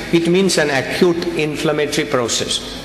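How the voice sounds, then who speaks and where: Through noticeable background noise and audible room echo, a man speaks with fairly even intonation. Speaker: pediatrician. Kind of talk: medical conference lecture. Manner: fast.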